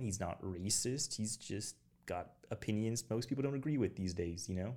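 Ordinary pitch variation marks a man's fairly low voice, a plain, everyday voice. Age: 20s. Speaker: military veteran, former weather forecaster. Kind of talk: casual chat.

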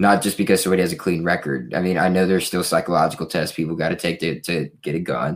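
In a very deep, low pitch with vocal fry, a man speaks at a very fast pace with fairly even intonation. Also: hardly any pauses, very clean recording, silent background. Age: 20s. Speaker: podcast co-host. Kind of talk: casual chat. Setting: live stream.

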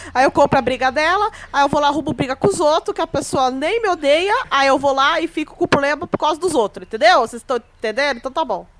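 A woman with a high pitch at a very fast pace, lively intonation and hardly any pauses, dry and close with no echo, over noticeable background noise. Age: 20s. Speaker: podcast host and thoracic surgeon. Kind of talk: casual chat.

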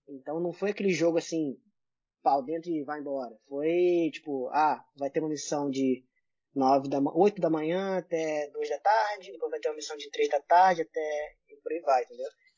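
Here is a man with an ordinary speaking voice pitched fairly high. His pace is moderate and his pitch variation ordinary. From Brazil, Rio de Janeiro. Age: 30s. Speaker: airsoft player. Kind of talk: casual chat.

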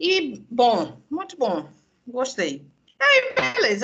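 A raised, projected voice with a bright, sharp tone. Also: woman. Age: 30s. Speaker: communications professional and social media personality. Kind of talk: casual chat. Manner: animated.

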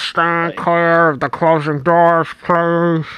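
A put-on character voice at a middle pitch, monotone and flat, at a very slow pace. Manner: clear, official announcement.

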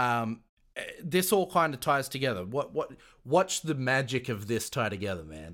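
A man with an American accent talks at a moderate pace and medium pitch, with vocal fry and very wide pitch swings. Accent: Australian, smoothed out by years in US. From Australia. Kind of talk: casual interview. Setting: remote call.

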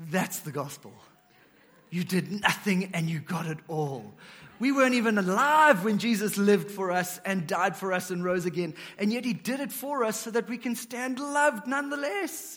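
A man's high voice at a moderate pace, with lively intonation. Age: 30s. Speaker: pastor. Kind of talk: sermon.

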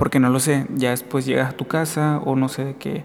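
Fairly quick speech runs against noticeable background noise. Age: 20s. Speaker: podcast host. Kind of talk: casual monologue.

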